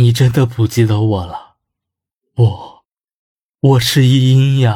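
Over a very clean recording with a silent background, a man does a shaky put-on character voice at medium pitch and a fairly slow pace. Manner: pleading, sorrowful.

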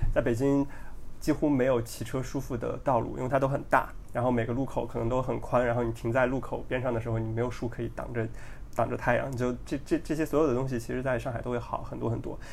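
A man talks very fast at a medium pitch with monotone, flat intonation and vocal fry. Audible room echo surrounds his voice. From China, Henan province. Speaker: podcast guest, engineer. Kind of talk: casual chat.

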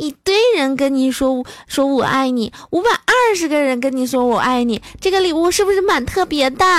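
Over noticeable background noise, the intonation is lively while loudness stays very even. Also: woman, high pitch for a woman, moderate pace, hardly any pauses. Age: 20s. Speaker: comedy podcaster. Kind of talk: comic monologue. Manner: animated.

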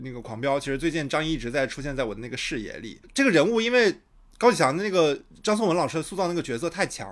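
With lively intonation and a fairly high pitch, a man speaks at a very fast pace in a very clean recording with a silent background. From Shandong, China. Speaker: podcast host. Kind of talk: casual chat, podcast recorded live-streamed. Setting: live stream while recording.

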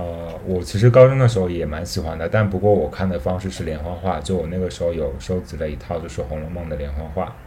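Somewhat breathy and very deep, a man rushes along at a very fast pace with hardly any pauses and ordinary pitch variation, amid audible room echo. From Gansu, northwest China. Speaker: podcast host, illustration graduate student. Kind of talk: casual interview chat.

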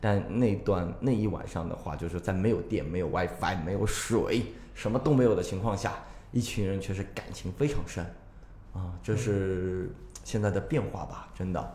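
With audible room echo and noticeable background noise, a man speaks at a moderate pace in a fairly low voice with ordinary pitch variation. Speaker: tour leader. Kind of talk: casual chat.

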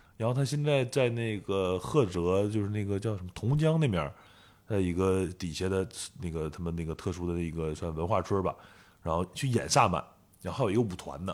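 A man with a northeastern Chinese accent speaks at a fairly quick pace. His pitch sits fairly low and his intonation is lively. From Northeast China. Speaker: photographer. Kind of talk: interview.

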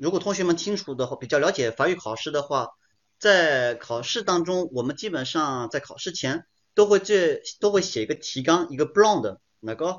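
This man has a fairly high pitch and lively intonation, talking at a moderate pace. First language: French and Chinese (bilingual) (speaking Chinese). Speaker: French teacher. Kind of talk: online lecture. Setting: livestream. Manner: code-switching French and Chinese.

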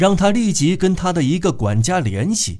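With very wide pitch swings, a man speaks at a fairly slow pace in a very clean recording with a silent background. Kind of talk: literary audiobook reading, scripted narration of a novel. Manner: measured, steady, formal narrator delivery.

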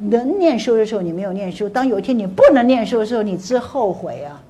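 Amid noticeable background noise and audible room echo, a woman talks at a fairly quick pace with lively intonation. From Taiwan. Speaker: motivational speaker. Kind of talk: lecture. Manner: animated.

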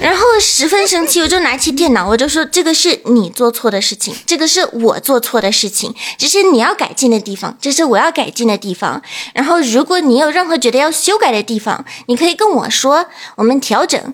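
A high-pitched woman with a non-native accent talks at a fairly quick pace with very wide pitch swings over noticeable background noise. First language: not Chinese (speaking Chinese). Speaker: guest. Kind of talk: casual chat.

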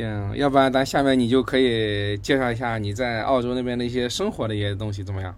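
With audible room echo, a man speaks very fast at a medium pitch, hardly pausing. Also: fairly even intonation. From Hangzhou, China. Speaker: podcast host. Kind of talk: casual interview chat.

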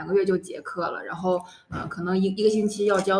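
A woman of medium pitch at a fairly quick pace, amid noticeable background noise. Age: 20s. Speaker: international student. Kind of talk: casual chat.

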